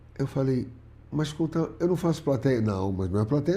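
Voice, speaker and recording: With a dark, mellow tone and a somewhat breathy quality, a man talks at a medium pitch. His intonation is lively and his pace moderate. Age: 60s. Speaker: comedian. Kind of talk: casual interview chat.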